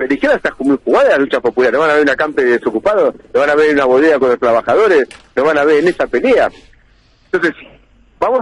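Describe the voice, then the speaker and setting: This man talks very fast, his pitch swinging very widely while his loudness stays very even. The sound is dry, with no echo. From Argentina. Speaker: politician. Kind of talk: radio interview. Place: studio.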